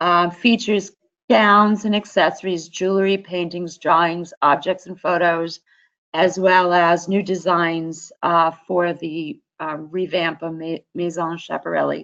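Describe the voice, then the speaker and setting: Fairly low-pitched woman at a fairly slow pace, fairly even in intonation, over a quiet background. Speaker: fashion instructor. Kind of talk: presentation.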